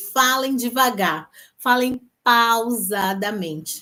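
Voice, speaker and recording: A woman's high, bright, sharp voice in a very clean recording with a silent background. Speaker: lawyer and legal career coach. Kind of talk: live stream talk to audience. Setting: live stream on Instagram and YouTube.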